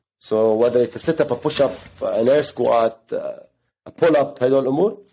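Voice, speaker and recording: Vocal fry runs through a man's voice as his pitch swings very widely. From Ghana. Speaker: gym coach and co-founder. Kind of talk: casual interview chat. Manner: informal, hesitant with fillers.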